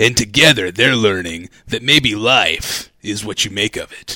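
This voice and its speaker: Dramatic in tone, a man speaks at a fairly slow pace with a fairly low pitch. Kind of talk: movie trailer voice-over. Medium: comedy sketch. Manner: portentous, dramatic.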